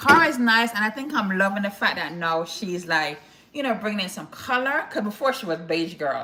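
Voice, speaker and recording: Speaking with a Jamaican accent at a moderate pace, a woman uses a medium pitch with very wide pitch swings over noticeable background noise. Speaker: lifestyle vlogger. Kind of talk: casual live stream chat. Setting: live stream. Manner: conversational, chatty.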